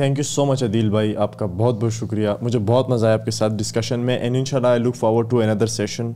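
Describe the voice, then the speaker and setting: A man speaks at a medium pitch in a dark, mellow tone, keeping a moderate pace, fairly even intonation, very even loudness and hardly any pauses. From Pakistan. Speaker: podcast host. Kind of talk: casual interview. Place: studio. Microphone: studio mic.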